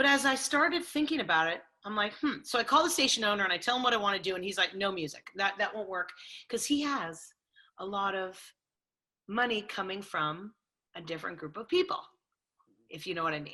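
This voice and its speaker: With a Californian accent, the speaker talks at a fairly quick pace in a bright, sharp tone, with very wide pitch swings and long, frequent pauses. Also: woman, medium pitch for a woman. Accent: Californian American. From Los Angeles. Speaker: sports radio host. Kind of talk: interview.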